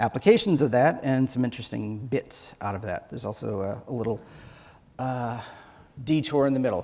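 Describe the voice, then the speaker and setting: On a very clean recording with a silent background, a man at medium pitch speaks at a fairly quick pace in a dark, mellow tone with ordinary pitch variation. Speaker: software engineer, conference speaker. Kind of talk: conference talk. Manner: fast.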